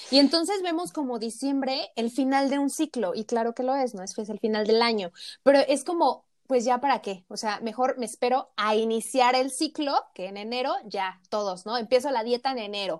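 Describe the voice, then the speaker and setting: A woman talks at a moderate pace in a high voice, with lively intonation. Her loudness swings widely, and the recording is very clean with a silent background. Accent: Mexican. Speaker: nutritionist podcast co-host. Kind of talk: casual chat.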